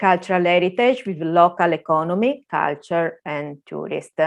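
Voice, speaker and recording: A woman's medium-pitched voice with an Italian accent and ordinary pitch variation, over a quiet background. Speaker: museum services manager. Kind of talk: conference presentation. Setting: video call. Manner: halting.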